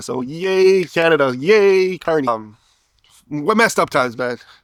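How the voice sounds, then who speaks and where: Here a man speaks in an animated tone with a fairly high pitch. The sound is dry and close, with no echo. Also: very clean recording, silent background. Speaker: political commentator. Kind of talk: casual monologue. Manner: rambling.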